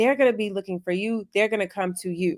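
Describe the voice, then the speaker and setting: A woman's medium-pitched, animated voice at a very fast pace, with ordinary pitch variation and a dry, close sound with no echo. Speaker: career coach. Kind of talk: live Q&A webinar.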